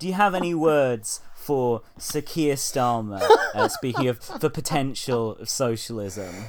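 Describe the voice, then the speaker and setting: A British-accented man speaks at a fairly slow pace with a medium pitch and lively intonation. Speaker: podcast host. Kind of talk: casual conversation about music.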